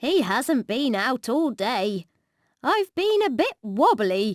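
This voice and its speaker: In a put-on character voice, a woman speaks at a very slow pace with a high pitch and very wide pitch swings, the sound dry and close with no echo. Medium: read story.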